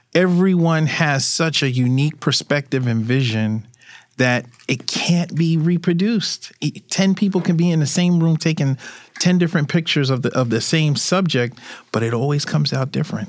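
In a plain, everyday voice, a man talks at a moderate pace and fairly high pitch, with very even loudness and ordinary pitch variation. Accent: American. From Brooklyn, New York. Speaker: street photographer. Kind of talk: interview conversation.

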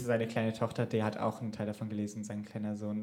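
A man speaks at a very fast pace in a fairly low pitch. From Germany. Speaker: podcast co-host. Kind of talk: casual chat. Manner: animated.

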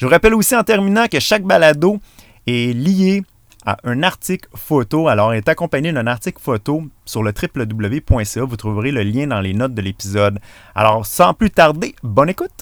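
With a Quebec accent, a man talks in very wide pitch swings, captured in a very clean recording with a silent background. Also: medium pitch for a man, moderate pace. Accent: Québécois French. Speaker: podcast host. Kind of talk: casual interview chat. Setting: in a parked van.

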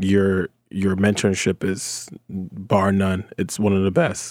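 With an American accent, a man speaks at a fairly low pitch in a dark, mellow tone. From New Jersey. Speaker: podcast co-host. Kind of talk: casual chat.

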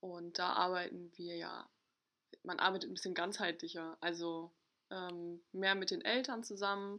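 A woman's ordinary speaking voice, medium in pitch, fairly slow, with fairly even intonation. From northern Germany, Ostholstein. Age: 20s. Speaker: family support social worker. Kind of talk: casual chat.

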